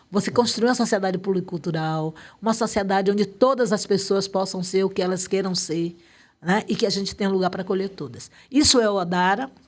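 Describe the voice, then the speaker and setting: A woman's voice at medium pitch with ordinary pitch variation, fairly quick in pace, in a very clean recording with a silent background. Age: 60s. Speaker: activist. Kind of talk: interview.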